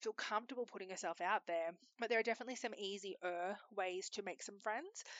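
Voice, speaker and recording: Speaking at a fairly quick pace, a woman with an Australian accent keeps her medium pitch fairly even. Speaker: podcast host. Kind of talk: casual solo monologue. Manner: loud.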